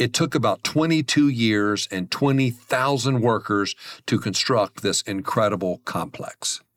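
A man with an American accent uses a normal speaking voice at a fairly slow pace and ordinary pitch variation, heard as a dry, close sound with no echo on a very clean recording with a silent background. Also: medium pitch for a man. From US, small town. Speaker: podcast host on money and faith. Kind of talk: solo podcast monologue. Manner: friendly, conversational.

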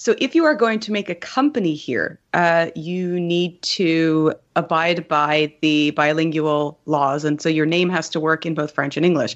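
A woman speaks in a fairly low pitch. Her pitch varies in an ordinary way. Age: 30s. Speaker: game writer. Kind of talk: casual interview. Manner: halting. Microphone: new mic.

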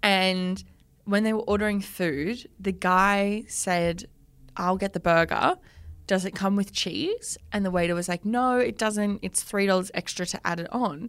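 A woman speaks fairly slowly at a medium pitch with ordinary pitch variation. The recording is very clean, with a silent background. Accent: Australian. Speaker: podcast co-host. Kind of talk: casual chat.

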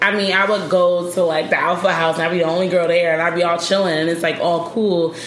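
A woman with an American accent, fairly low in pitch, very fast and with hardly any pauses, in a monotone, flat intonation, with audible room echo and noticeable background noise. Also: very even loudness. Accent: Philly accent, occasionally comes out. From Philadelphia. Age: 30s. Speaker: travel blogger. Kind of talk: casual chat.

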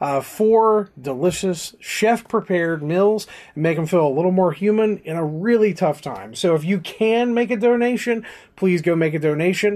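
A man with an American accent speaks in a high pitch with ordinary pitch variation. His moderate pace comes through over a quiet background. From West Virginia-Kentucky border. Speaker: podcast host. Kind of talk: casual chat.

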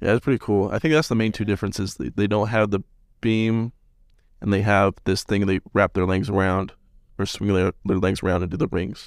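With an American accent and an ordinary speaking voice, a man talks at a fairly quick pace in a fairly low pitch with ordinary pitch variation, the sound dry and close with no echo and the recording very clean over a silent background. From Salt Lake City, Utah. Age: 20s. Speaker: podcast host, college student. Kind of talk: casual chat.

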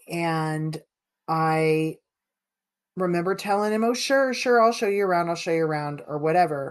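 A woman talks at a moderate pace in a fairly low pitch with ordinary pitch variation. The background is quiet. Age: 50s. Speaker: podcast host. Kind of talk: casual chat.

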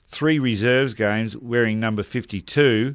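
In an Australian accent, the speaker talks at a moderate pace with fairly even intonation. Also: man. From Melbourne, Australia. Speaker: former Australian football player. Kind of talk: interview.

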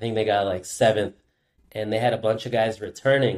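Using an unremarkable speaking voice, a man with an American accent talks at medium pitch with fairly even intonation. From California, Santa Barbara area. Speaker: distance runner. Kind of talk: casual interview.

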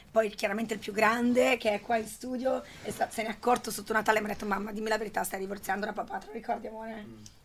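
A woman's fairly high voice at a very fast pace with hardly any pauses, over noticeable background noise. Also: fairly even intonation. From Italy, schooled in Switzerland from 14. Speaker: network marketing entrepreneur. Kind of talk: interview. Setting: studio.

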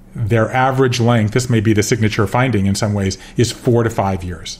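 A man with an American accent and an unremarkable speaking voice talks at a fairly quick pace. His medium-pitched voice keeps fairly even intonation. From US South, Georgia. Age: 50s. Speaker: author. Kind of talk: interview.

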